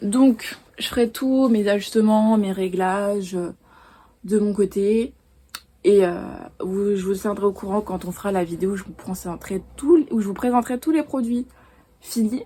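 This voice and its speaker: A woman with a dark, mellow, somewhat breathy tone speaks at a medium pitch and fairly slow pace, with ordinary pitch variation and long, frequent pauses. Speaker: illustrator and art vlogger. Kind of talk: casual vlog talk to camera.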